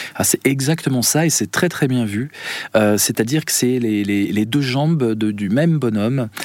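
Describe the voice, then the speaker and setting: Against noticeable background noise, a man speaks at a moderate pace in a medium pitch with ordinary pitch variation. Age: 50s. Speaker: philosopher and musician. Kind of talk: radio interview.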